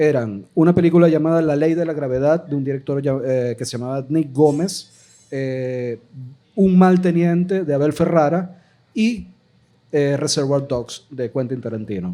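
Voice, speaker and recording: Lively intonation runs through this man's speech. His voice sits fairly high. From Venezuela, Maracaibo (Zulia). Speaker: filmmaker, podcast panelist. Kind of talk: live podcast panel discussion. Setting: live recording with audience.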